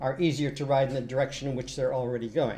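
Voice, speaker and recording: Somewhat breathy with a dark, mellow tone, a man with an American accent speaks at a fairly high pitch amid audible room echo. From United States and UK. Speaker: university lecturer. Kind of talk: lecture. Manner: hesitant, many fillers.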